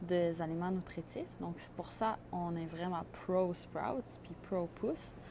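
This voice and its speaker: A woman speaks with a non-native accent at a very slow pace. Her voice is fairly low, with a dark, mellow tone. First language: not French (speaking French). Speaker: microgreens grower. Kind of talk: tutorial. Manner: halting, many fillers.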